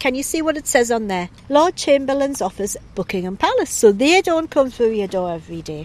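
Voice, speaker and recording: Very wide pitch swings at a fairly quick pace, with hardly any pauses. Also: woman, high pitch for a woman. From northern England, Northumberland (Bedlington). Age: 60s. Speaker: interviewee, local resident. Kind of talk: interview by school pupils.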